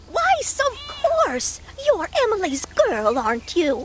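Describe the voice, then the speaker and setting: This put-on character voice is extremely high, with very wide pitch swings, at a fairly slow pace. Clear background noise is audible. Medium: machinima. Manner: chatty, prim.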